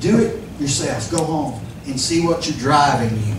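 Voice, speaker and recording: With a fairly high pitch, a man talks at a fairly slow pace. The recording has audible room echo and noticeable background noise. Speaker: pastor. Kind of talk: sermon. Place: church.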